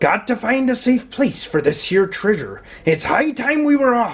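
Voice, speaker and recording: Fairly high pitch in a put-on character voice. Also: moderate pace. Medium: read story. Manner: loud, bellowing.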